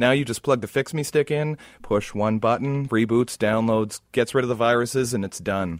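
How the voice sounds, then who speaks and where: A man's normal speaking voice at medium pitch, with ordinary pitch variation, a moderate pace and hardly any pauses, dry and close with no echo in a very clean recording with a silent background. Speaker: retail tech expert guest. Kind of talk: radio interview, tech advice. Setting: studio.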